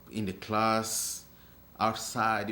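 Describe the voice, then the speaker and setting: In audible room echo, a man with a strong African accent speaks at a fairly low pitch. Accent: thick African. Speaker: African immigrant interviewee. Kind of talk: documentary interview.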